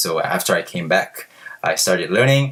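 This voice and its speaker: Fairly quick speech with a Korean accent. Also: man. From South Korea. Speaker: language learning vlogger. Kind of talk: casual vlog. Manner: hesitant with fillers.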